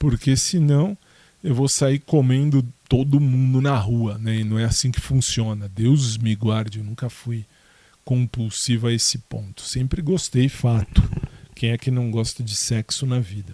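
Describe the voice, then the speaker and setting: Medium in pitch, the man's voice comes across somewhat breathy. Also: ordinary pitch variation. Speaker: podcaster. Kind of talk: casual monologue answering listener questions. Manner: hesitant, many fillers and restarts.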